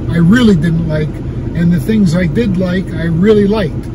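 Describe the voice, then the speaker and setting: A man at a moderate pace, dry sound with no echo, and noticeable background noise. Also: ordinary pitch variation. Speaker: restaurant reviewer vlogger. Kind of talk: casual vlog chat. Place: car. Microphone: phone near.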